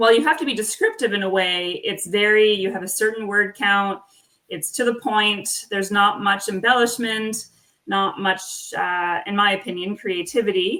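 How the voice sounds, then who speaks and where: With ordinary pitch variation, a woman speaks at medium pitch in a bright, sharp tone. Her pace is moderate. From Nova Scotia, Canada (Acadian village). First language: French. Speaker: author. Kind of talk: interview.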